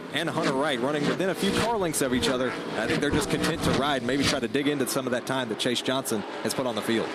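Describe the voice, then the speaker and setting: The voice has an energetic tone and very even loudness, with ordinary pitch variation. It runs at a very fast pace with hardly any pauses, over noticeable background noise. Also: man, medium pitch for a man. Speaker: racing play-by-play announcer. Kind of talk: live sports play-by-play commentary. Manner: fast, energetic.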